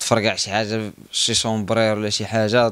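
A man's fairly low, monotone voice with flat intonation and a dry sound without echo. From Morocco, Guelmim; Morocco. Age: 20s. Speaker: long-distance cyclist. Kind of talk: personal account interview. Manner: halting, many pauses and fillers. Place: cafe. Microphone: handheld.

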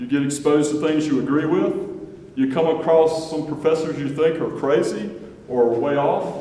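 A man's voice with audible room echo. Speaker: university official introducing a panel. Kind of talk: welcoming speech. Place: hall. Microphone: camera far.

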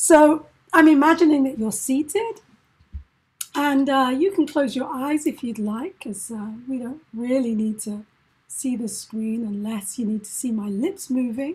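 A woman's high-pitched, gentle voice at a fairly slow pace, with lively intonation and big swings in loudness. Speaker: mindfulness facilitator and performing arts educator. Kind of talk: guided meditation. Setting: video call. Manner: slow, soft, calm and soothing; gentle, paced to breathing.

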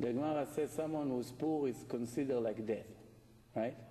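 A man talks at a fairly quick pace with fairly even intonation. His voice is medium in pitch, with a dark, mellow tone. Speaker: rabbi giving a Torah lecture. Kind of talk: impassioned sermon, urging listeners on. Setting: live lecture to an evening audience. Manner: urgent, emphatic, driving repetition. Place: hall. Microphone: camera far.

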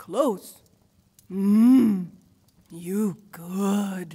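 Very slow and dark, this put-on character voice has a mellow tone, a slightly husky edge and ordinary pitch variation. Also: woman, medium pitch for a woman.

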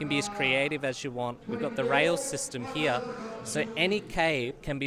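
Over noticeable background noise, a man talks at a moderate pace in a fairly high pitch. The sound is dry with no echo, and his pitch swings very widely. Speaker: aquarium products maker. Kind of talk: interview answer. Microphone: handheld.

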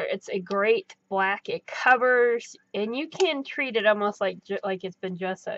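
The pace of this woman's speech is fairly slow. Her pitch moves up and down in an ordinary way. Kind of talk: casual tutorial chat. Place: home room.

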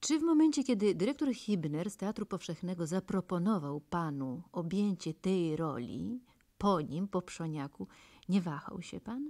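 A woman with a dark, mellow tone and medium pitch speaks at a moderate pace with very wide pitch swings over a quiet background. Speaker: radio interviewer. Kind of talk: radio interview. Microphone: old recording.

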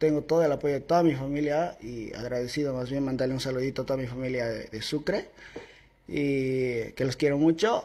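Somewhat breathy, a man speaks with a fairly high pitch. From Bolivia, Santa Cruz. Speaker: singer and social media creator. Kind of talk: casual interview. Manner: reserved, few words. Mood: friendly, grateful. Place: studio. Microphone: handheld.

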